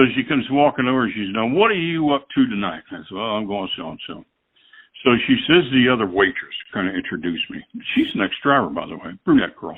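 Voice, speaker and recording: A man with an American accent at a medium pitch, very fast, with very wide pitch swings and big swings in loudness. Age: 70s. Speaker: retired truck driver. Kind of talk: storytelling. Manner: animated.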